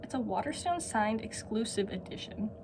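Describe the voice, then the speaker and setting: This woman's voice sits at a fairly high pitch. Noticeable background noise runs behind her. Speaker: book vlogger. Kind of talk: casual vlog. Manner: animated.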